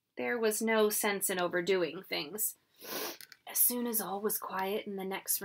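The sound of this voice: An unforced reading voice. Nothing more stands out.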